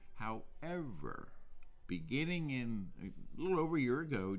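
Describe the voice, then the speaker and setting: With audible room echo, a man in an American accent speaks with lively intonation. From New Jersey, South Jersey. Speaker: museum curator. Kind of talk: interview. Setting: on location in a historic drugstore.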